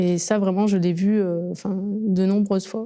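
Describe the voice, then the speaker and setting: A woman's dark, mellow voice stays monotone and flat. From Marseille northern districts, France. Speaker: actor. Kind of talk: interview. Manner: hesitant, many fillers.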